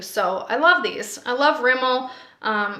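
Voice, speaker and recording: A woman's bright, sharp tone carries audible room echo. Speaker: beauty vlogger. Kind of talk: product review. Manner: casual, with filler words.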